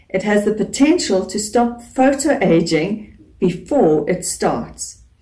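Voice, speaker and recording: Very slowly, a woman speaks in a dark, mellow tone with vocal fry and very wide pitch swings. The background is quiet. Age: 40s. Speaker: beauty YouTuber. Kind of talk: vlog talk to camera. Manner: animated. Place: home room. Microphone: phone near.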